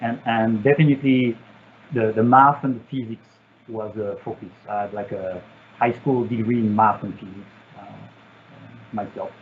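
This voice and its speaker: A medium-pitched man with a French accent at a moderate pace, fairly even intonation, big swings in loudness, and long, frequent pauses. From France. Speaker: satellite engineer. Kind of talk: Q&A session. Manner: halting, many fillers.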